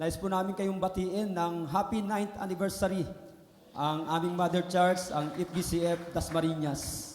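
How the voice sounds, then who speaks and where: Amid noticeable background noise and audible room echo, a man speaks at a fairly slow pace in a high pitch. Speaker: guest preacher. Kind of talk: sermon. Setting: church.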